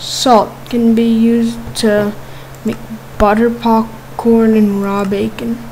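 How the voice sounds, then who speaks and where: Noticeable background noise behind a woman's very slow speech, broken by long, frequent pauses. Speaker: Minecraft YouTuber. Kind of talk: casual gaming commentary. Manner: casual, chatty, animated.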